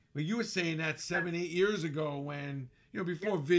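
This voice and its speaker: A man with an American accent speaks in a plain, everyday voice at a fairly high pitch. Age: 50s. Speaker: podcast host. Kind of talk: interview.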